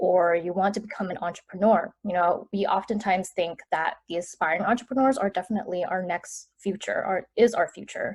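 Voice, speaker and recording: At a fairly quick pace and with hardly any pauses, a woman talks in a plain, everyday voice at medium pitch with fairly even intonation. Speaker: entrepreneur. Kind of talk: interview answer.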